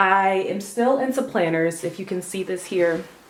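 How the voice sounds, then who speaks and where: There is noticeable background noise as a woman talks at a medium pitch with ordinary pitch variation. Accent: American. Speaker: lifestyle vlogger and hair coach. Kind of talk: casual vlog. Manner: quiet, low-key.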